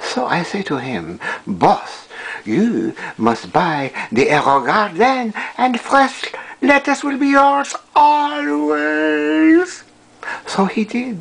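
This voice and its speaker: In a put-on character voice, the speaker swings very widely in pitch and leaves long, frequent pauses. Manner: enthusiastic, theatrical.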